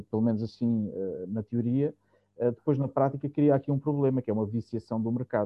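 This man has an ordinary speaking voice of medium pitch. He moves at a fairly quick pace. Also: fairly even intonation. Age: 40s. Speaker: music industry producer. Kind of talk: casual panel discussion.

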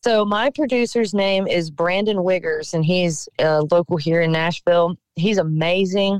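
A woman's fairly low voice in a Southern US accent, fairly slow with hardly any pauses, ordinary pitch variation and very even loudness, in a dry, close sound with no echo. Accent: Southern US (Georgia). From Georgia, US South (Cochran). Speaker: singer-songwriter. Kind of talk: radio interview.

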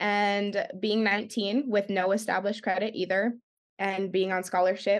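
A woman speaks with a Western US accent. The background is quiet. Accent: General American (western US). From California, San Jose then Arizona from age ten. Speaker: pageant titleholder and dance studio owner, arts advocate. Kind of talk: podcast interview.

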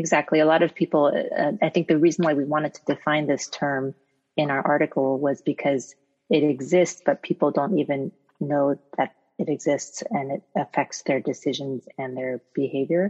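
A woman's very deep, low voice with an American accent, moderate pace and fairly even intonation, dry and close with no echo. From United States. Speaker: physician researcher. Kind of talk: interview.

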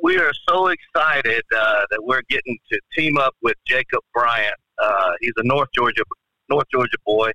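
A man at a fairly slow pace with very even loudness. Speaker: country musician. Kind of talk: casual interview. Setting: phone call.

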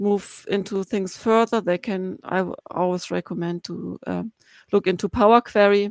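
A woman with a German accent speaks at a fairly slow pace, recorded very cleanly against a silent background with a dry, close sound and no echo. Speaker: blogger and BI consultant. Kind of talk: casual chat.

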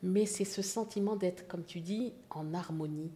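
A woman's dark, mellow voice, somewhat breathy and fairly low in pitch, moves at a fairly slow pace with fairly even intonation. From Haiti and Morocco (Casablanca). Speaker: visual artist. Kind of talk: interview.

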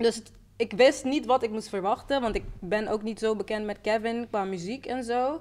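A woman with a fairly high pitch speaks in an animated tone. Her pace is fairly slow and her pitch varies in an ordinary way. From Netherlands, Rotterdam. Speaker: musician. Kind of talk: casual chat.

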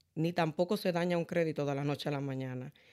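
A woman's dark, mellow tone with ordinary pitch variation, on a very clean recording with a silent background. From Dominican Republic. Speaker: credit repair specialist. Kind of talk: interview.

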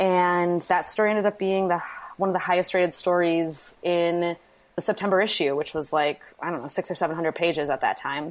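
With an Upper Midwest US accent, a woman speaks in a fairly low voice. Her pace is fairly quick. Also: fairly even intonation, very clean recording, silent background. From Wisconsin, Manitowoc. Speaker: DIY blogger. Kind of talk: interview.

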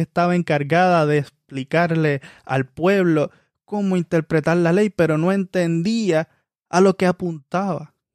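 Speaking at a fairly slow pace with fairly even intonation, a man with a high pitch comes through on a very clean recording with a silent background. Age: 20s. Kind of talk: sermon.

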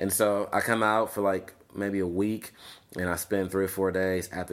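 A man with an American accent and a very deep, low pitch talks at a moderate pace in a monotone, flat intonation on a very clean recording with a silent background. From Los Angeles, California. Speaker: film program founder and TV producer. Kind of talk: casual interview conversation.

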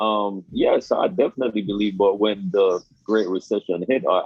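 A man speaks with a Jamaican accent. His pace is moderate. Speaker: guest, crypto professional. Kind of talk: casual interview.

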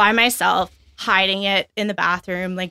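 A woman speaks at a very slow pace in a Canadian Prairie accent, her medium-pitched voice bright and sharp in tone with monotone, flat intonation. The recording is very clean with a silent background, and the sound is dry and close with no echo. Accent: Canadian (prairies). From Alberta, Canada. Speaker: recovering alcoholic, pub worker. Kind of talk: testimony. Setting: studio.

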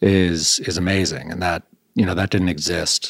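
With an Upper Midwest accent, a man talks fairly quickly at a very deep, low pitch, in a dry, close sound with no echo. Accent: Upper Midwest American. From Michigan, Grosse Pointe near Detroit. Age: 40s. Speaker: restaurant owner. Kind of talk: casual interview.

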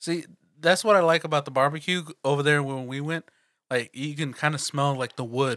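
A man with a Texan accent speaks at a fairly high pitch in a bright, sharp tone. The recording is very clean, with a silent background. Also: ordinary pitch variation, fairly quick pace. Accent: Texan American English. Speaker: podcast co-host. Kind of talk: casual chat.

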